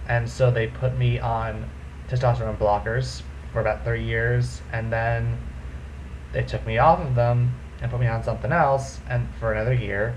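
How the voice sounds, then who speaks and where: A man at a moderate pace amid audible room echo and noticeable background noise. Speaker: vlogger. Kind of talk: casual vlog monologue.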